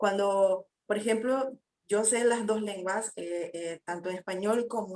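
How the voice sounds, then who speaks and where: A woman speaks at a fairly slow pace. Her voice sits fairly high, with ordinary pitch variation. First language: Guna (Kuna) (speaking Spanish). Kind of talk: panel discussion. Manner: hesitant, many fillers.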